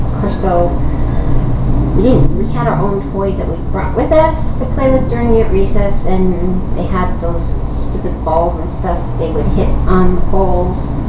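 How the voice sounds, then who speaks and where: Over loud background noise and audible room echo, a woman speaks at a fairly slow pace. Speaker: YouTube vlogger. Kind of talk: casual vlog storytelling. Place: home room. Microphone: webcam.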